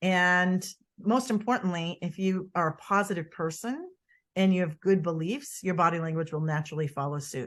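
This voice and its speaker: A woman with a Boston accent, fairly low in pitch, with ordinary pitch variation at a moderate pace against a quiet background. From US Northeast, Boston. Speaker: body language expert. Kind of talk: interview. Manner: animated.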